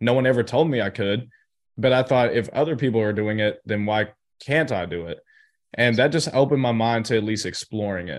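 A man at a medium pitch talks at a fairly quick pace with ordinary pitch variation over a quiet background. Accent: American. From US South, Chattanooga, Tennessee. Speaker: entrepreneur. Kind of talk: interview.

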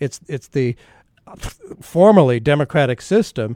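A man with a plain, everyday voice talks at a moderate pace with ordinary pitch variation, in a dry, close sound with no echo. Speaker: radio host. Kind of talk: interview discussion.

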